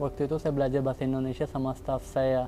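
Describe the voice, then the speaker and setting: A man talks at a very fast pace in a monotone, flat intonation. His tone is dark and mellow. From Pakistan. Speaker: carpet businessman. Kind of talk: interview testimony. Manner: halting.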